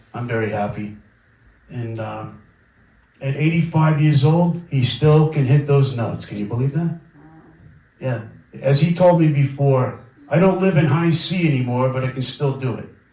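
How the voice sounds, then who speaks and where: A man with an American accent speaks at a moderate pace with long, frequent pauses. His fairly high pitch has ordinary variation, and audible room echo is present. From Brooklyn, New York. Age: 50s. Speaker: record label owner. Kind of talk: guest lecture. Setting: lecture room with audience. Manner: casual, conversational.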